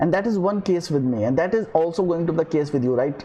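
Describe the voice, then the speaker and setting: Very fast speech comes from a man with an Indian accent. His tone is dark and mellow, with ordinary pitch variation. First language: Hindi. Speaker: podcaster and filmmaker. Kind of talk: motivational monologue. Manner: hesitant, many fillers.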